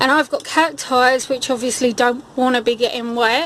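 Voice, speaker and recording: A woman speaks at a high pitch, moderately paced and with fairly even intonation. Noticeable background noise can be heard. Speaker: gardening vlogger. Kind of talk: casual video walkthrough.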